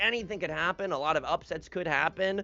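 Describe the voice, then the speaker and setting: Loud and full of vocal fry, a man talks in a bright, sharp tone. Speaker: mahjong commentator. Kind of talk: live commentary. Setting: livestream. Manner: animated. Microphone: too quiet.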